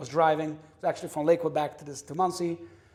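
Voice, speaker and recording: A man speaks in an animated tone with an American accent. His pace is fairly quick. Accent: New York Hasidic English. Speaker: kosher industry insider. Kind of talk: casual interview chat. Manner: loud.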